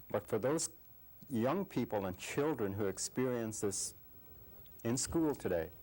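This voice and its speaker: Lively intonation marks this man's speech. He talks with an Alaskan accent. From Alaska, Inupiaq. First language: Inupiaq. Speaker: TV interviewer. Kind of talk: interview. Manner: halting.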